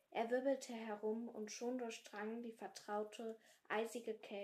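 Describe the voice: Fairly even intonation in a plain read-aloud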